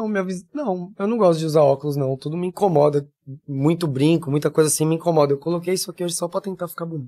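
The man's voice sits high in pitch and moves at a very fast pace. The sound is dry and close, with no echo. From São Paulo city, Brazil. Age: 40s. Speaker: body piercer and body modifier. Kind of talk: casual interview chat.

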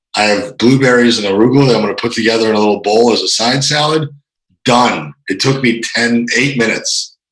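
In a normal speaking voice, a man talks at a fairly quick pace, medium in pitch with ordinary pitch variation. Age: 30s. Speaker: fitness coach. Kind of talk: casual chat.

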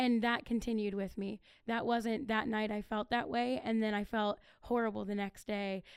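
In an American accent, a woman with a fairly high pitch speaks at a moderate pace with fairly even intonation, an unremarkable speaking voice. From Ohio (Akron). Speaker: youth ministry podcast co-host. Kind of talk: testimony.

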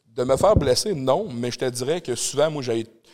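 Heard here is an unremarkable speaking voice with ordinary pitch variation at a moderate pace. The recording is very clean, with a silent background. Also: man. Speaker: doorman and entrepreneur. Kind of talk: casual chat. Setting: studio with live audience.

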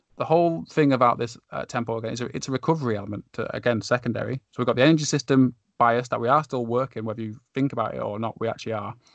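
Someone with a slight northern English accent talks at a very fast pace with hardly any pauses and ordinary pitch variation. The sound is dry and close with no echo. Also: man, medium pitch for a man. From Lancashire, northern England. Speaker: podcast host, sports performance coach. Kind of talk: casual conversational podcast discussion.

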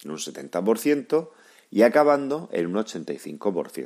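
A man's pitch swings very widely. The recording is very clean, with a silent background. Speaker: physiotherapist and podcast host. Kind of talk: scripted narration. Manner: formal.

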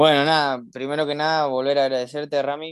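A man speaks at a moderate pace. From Argentina, Campana, Buenos Aires province. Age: 20s. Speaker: para-athlete, swimmer and rower. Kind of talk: interview. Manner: halting, many fillers and repetitions.

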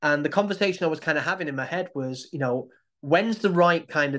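Over a quiet background, a man with a Manchester accent talks very fast with lively intonation. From Manchester, England. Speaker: poet with sight loss. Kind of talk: personal talk to a support group.

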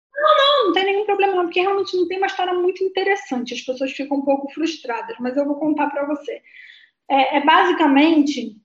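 A woman with an extremely high pitch speaks at a fairly quick pace, her intonation lively. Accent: Carioca. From Rio de Janeiro, Brazil (Leme). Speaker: guest telling her aviation life story, co-creator of an aviation channel. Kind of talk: interview on a live stream. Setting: online live stream with chat.

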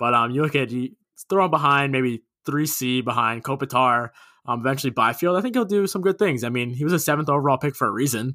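A man with a New York accent at medium pitch and a very fast pace, bright and sharp in tone, dry and close with no echo. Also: ordinary pitch variation, very clean recording, silent background. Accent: New York area American. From Long Island, New York. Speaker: podcast co-host, hockey fan. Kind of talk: casual chat.

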